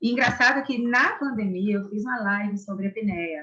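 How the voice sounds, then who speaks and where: A fairly slow woman's voice in a Pernambuco accent, fairly high in pitch with ordinary pitch variation. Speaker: orthodontics professor. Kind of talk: interview.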